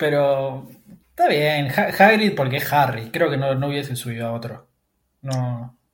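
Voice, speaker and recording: Audible room echo surrounds a man speaking at a fairly high pitch. His pitch variation is ordinary. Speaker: podcast host. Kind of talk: casual chat.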